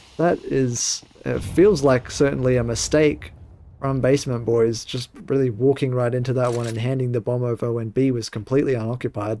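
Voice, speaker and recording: Speaking at a moderate pace, a man with an Australian accent has a dark, mellow tone, medium pitch and ordinary pitch variation. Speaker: esports commentator. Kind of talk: live commentary. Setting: solo livestream broadcast.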